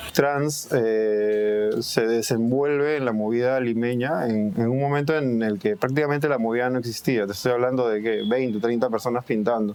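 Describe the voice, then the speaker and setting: Noticeable background noise sits behind a man with a Peruvian accent. His intonation is fairly even and he barely pauses. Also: medium pitch for a man, moderate pace. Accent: Peruvian Spanish (Lima). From Peru, Lima (Surquillo). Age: 30s. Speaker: graffiti artist. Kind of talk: interview. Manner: hesitant, repeating words.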